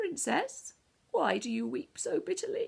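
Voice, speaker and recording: A woman performs a put-on character voice. It is extremely high in pitch and delivered at a moderate pace. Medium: read story.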